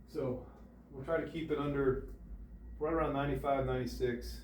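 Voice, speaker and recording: Despite long, frequent pauses, a man talks at a very fast pace, with noticeable background noise and audible room echo. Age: 60s. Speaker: golf instructor. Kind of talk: tutorial. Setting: indoor golf simulator.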